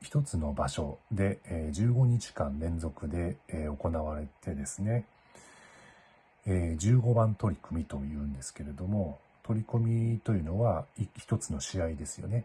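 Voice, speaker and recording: With a very deep, low pitch and a dark, mellow, somewhat breathy tone, a man speaks at a moderate pace with lively intonation. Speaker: Japanese language teacher. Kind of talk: casual talk to camera. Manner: clear.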